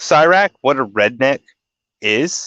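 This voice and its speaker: A man with a Southern US accent at medium pitch, bright and sharp in tone, very slow, with a dry, close sound without echo and a quiet background. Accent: faint Southern, only on a few words. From US South. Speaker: podcast host. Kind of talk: casual chat.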